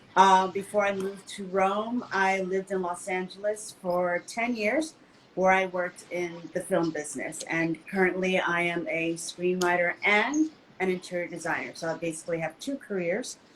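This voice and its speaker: A woman with an American accent talks at a moderate pace in a medium pitch with ordinary pitch variation. Noticeable background noise runs under her voice. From United States. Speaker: screenwriter and interior designer. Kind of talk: panel discussion.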